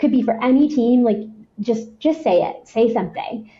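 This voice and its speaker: A somewhat breathy woman's voice. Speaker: head of marketing. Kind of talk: podcast interview. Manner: fast; high energy.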